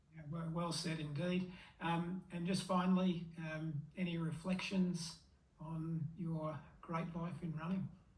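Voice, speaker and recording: A man with a high pitch and an Australian accent, monotone and flat, at a fairly slow pace amid audible room echo. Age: 60s. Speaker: masters runner and vlogger. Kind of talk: interview.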